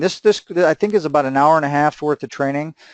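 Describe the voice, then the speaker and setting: Over a quiet background, a man with a fairly high pitch speaks with lively intonation in a dry, close sound with no echo. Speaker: webinar presenter. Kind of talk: live webinar Q&A sales presentation. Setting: live online webinar call. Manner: fast; animated.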